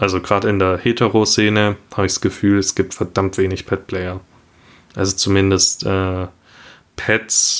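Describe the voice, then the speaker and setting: A man's very deep, low voice at a moderate pace, flat and monotone, with long, frequent pauses over a very clean recording and silent background. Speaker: podcast co-host. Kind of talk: solo monologue.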